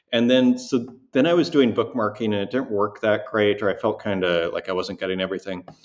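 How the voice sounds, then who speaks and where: Here is a man with a Canadian accent and an unremarkable speaking voice, talking at a fairly quick pace with ordinary pitch variation. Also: medium pitch for a man. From Saskatchewan, Canada (near Saskatoon). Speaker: digital artist. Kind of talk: interview conversation.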